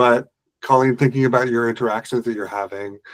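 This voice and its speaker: A man at medium pitch speaks with an Ottawa Valley accent and fairly even intonation. The sound is dry and close, with no echo. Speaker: business owner, HubSpot solutions provider. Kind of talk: casual group discussion. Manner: hesitant, many fillers.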